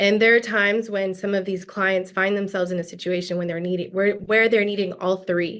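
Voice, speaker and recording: Here is a woman with an ordinary speaking voice, medium pitch and fairly even intonation, set against a quiet background. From US South, Gwinnett County, Georgia. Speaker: lawyer. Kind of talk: interview.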